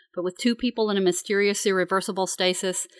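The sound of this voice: The delivery is an unforced reading voice, its intonation fairly even.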